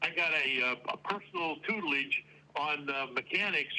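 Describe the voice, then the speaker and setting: A man with a fairly high pitch talks at a moderate pace and ordinary pitch variation, noticeable background noise behind him. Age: 70s. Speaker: retired auto plant manager. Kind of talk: interview. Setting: remote audio-only call. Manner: halting, many fillers.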